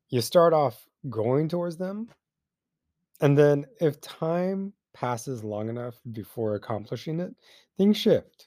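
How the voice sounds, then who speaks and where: A man with a dark, mellow tone speaks at a fairly slow pace with very wide pitch swings. The recording is very clean, with a silent background. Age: 40s. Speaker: running podcast host. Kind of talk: casual solo talk. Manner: casual, filler-heavy.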